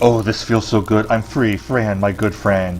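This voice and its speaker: A man's put-on character voice, fairly low in pitch, at a moderate pace over clear background noise. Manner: joyful, relieved.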